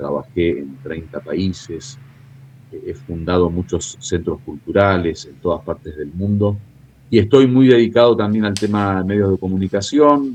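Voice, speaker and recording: In an unremarkable speaking voice, a man with a fairly low pitch uses lively intonation and big swings in loudness. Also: fairly slow pace. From Argentina. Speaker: international analyst and theologian. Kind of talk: interview.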